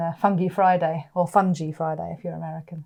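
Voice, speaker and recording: Speaking in a West Country accent, a woman has a fairly low pitch, a dark, mellow tone and fairly even intonation. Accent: West Country, milder than her partner's. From West Country, England. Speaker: podcast co-host. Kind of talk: casual chat. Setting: recorded podcast, also on video.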